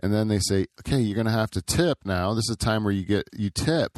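Speaking at a fairly quick pace with a Canadian accent, the voice is a normal speaking voice. The recording is very clean, with a silent background. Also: man, dry, close sound with no echo. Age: 40s. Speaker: podcast host. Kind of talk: casual chat.

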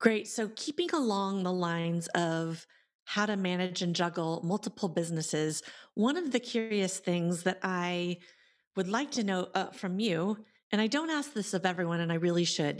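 A woman with an ordinary speaking voice and a medium pitch talks at a moderate pace with ordinary pitch variation in a very clean recording with a silent background. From Iowa. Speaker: podcast host, entrepreneur. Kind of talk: interview chat.

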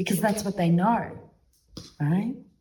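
The room echo is audible as a woman speaks at a medium pitch. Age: 40s. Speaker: tantra teacher. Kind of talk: workshop talk.

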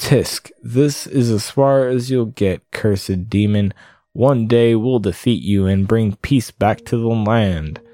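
Pitch variation is ordinary in a natural reading voice. Nothing much intrudes, as the background is quiet.

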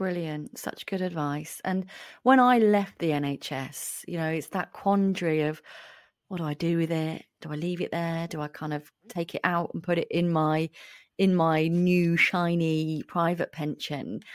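In a very clean recording with a silent background, a woman with a British accent speaks at a fairly slow pace with ordinary pitch variation. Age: 40s. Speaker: podcast host, clinical psychologist. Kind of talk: casual interview chat.

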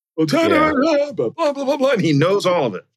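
This man uses a put-on character voice, pitched extremely high for a man, with very wide pitch swings at a moderate pace. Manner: rambling.

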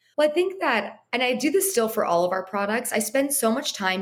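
A woman's intonation is lively, and she has an American accent. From Southern California, Los Angeles. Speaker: skincare brand founder and former beauty editor. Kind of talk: interview, casual chat.

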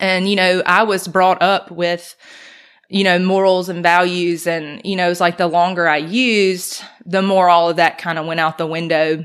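A woman with a Mississippi accent talks at a moderate pace in a fairly low pitch and a monotone, flat intonation. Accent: Southern US (Mississippi). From US South, Mississippi (Brandon). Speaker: recovering addict sharing faith story. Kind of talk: testimony.

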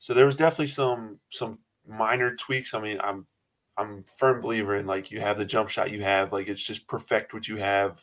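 An ordinary speaking voice from a man, fairly low in pitch with ordinary pitch variation, at a fairly quick pace, with big swings in loudness. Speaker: college basketball player. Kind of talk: casual interview. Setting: podcast interview.

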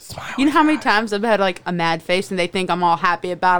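Talking at a very fast pace with ordinary pitch variation, a woman with a medium pitch is heard over noticeable background noise. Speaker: podcast co-host. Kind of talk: casual chat.

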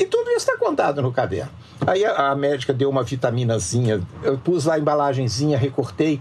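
Against noticeable background noise, a man speaks at a fairly quick pace with a fairly high pitch. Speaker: journalist and writer. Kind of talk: interview. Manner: talkative.

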